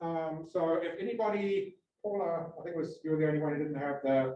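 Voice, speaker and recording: A man talks in a high pitch with ordinary pitch variation. His voice comes with audible room echo. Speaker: workshop instructor. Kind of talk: tutorial. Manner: halting, many fillers and repetitions.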